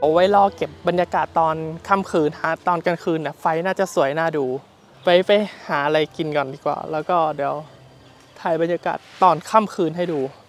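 A man with a high pitch speaks with fairly even intonation in a dry sound with no echo, with faint music in the background. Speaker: travel vlogger. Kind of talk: casual vlog chat. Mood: cheerful, relaxed. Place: street. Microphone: lapel.

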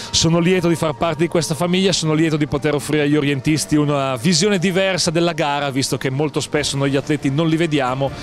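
Faint music plays behind a man whose fairly high voice shows ordinary pitch variation, with a dry sound and no echo. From Milan, Italy. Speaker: sports event announcer (speaker) for orienteering. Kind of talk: interview answer. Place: street. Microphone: handheld.

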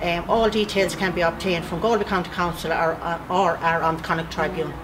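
Music plays in the background as a woman talks at a fairly quick pace. Her voice is fairly low, with fairly even intonation. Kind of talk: interview answer, recruitment appeal. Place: garage.

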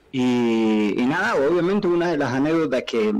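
The man talks at a moderate speed. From Argentina. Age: 30s. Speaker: professional footballer; interview guest. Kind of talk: interview. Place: studio. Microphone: studio mic.

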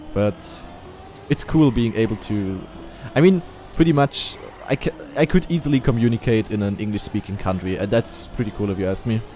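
A man with a German accent, medium pitch, ordinary pitch variation and a moderate pace, in a dry sound with no echo over light background noise. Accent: German accent, noticeable. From Eastern Germany. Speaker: streamer; game streamer. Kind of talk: casual chat. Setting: live stream. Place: home room. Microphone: studio mic.

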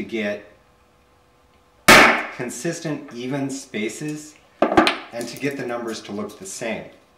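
A man's fairly slow speech comes through loud background noise. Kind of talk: tutorial. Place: workshop.

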